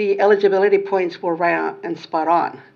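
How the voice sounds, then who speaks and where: A woman talks at a moderate pace. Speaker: housing agency staff, financial literacy specialist. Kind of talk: public meeting presentation. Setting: in-person meeting room with mics.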